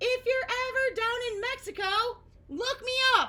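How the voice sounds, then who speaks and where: At a moderate pace, a put-on character voice comes through squeaky. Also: woman. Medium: read story.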